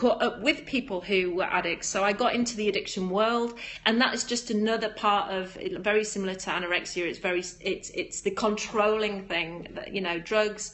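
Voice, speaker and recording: Music plays behind a woman speaking at a moderate pace. Her pitch is medium and her intonation fairly even. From northern England, Darlington, County Durham. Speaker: yoga teacher and live streamer. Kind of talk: casual live stream chat with viewers.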